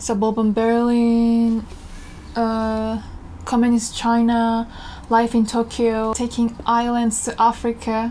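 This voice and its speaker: A woman speaks at a very slow pace with a Korean accent. Her pitch is fairly high. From South Korea. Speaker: artist and fashion designer. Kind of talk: studio tour.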